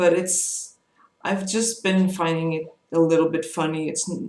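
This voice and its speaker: A moderate pace carries the words. There is a non-native accent. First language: not English. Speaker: vlogger with chronic migraine. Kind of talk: personal vlog monologue. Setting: home, webcam. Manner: halting, many fillers.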